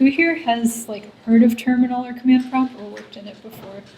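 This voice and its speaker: A woman talks with a fairly high pitch and fairly even intonation. Noticeable background noise runs under her voice. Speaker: coding workshop instructor. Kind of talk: lecture. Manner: soft-spoken.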